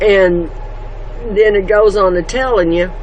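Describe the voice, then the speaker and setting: The speaker has an American accent. Noticeable background noise can be heard. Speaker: homestead vlogger. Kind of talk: casual devotional talk. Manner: loud.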